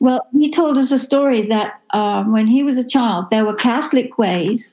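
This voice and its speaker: A woman speaks in a dark, mellow tone that is somewhat breathy. Her pitch variation is ordinary. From England. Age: 70s. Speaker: pilgrim walker. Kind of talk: casual interview. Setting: phone call.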